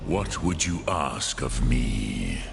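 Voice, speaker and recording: A man uses a put-on character voice with a very deep, low pitch. Clear background noise runs behind him. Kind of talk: solemn fantasy epic. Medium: video game. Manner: slow, measured, mixes dragon words.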